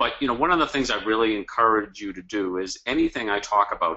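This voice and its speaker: Speaking at a fairly quick pace, a man has a strong Boston accent. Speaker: cause marketing consultant and author. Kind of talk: webinar presentation. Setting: online webinar.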